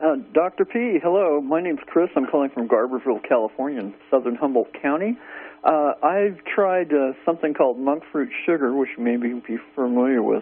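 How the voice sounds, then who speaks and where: A man with a plain, everyday voice talks at a fairly quick pace, fairly high in pitch and lively in intonation. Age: 60s. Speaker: caller. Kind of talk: radio call-in question.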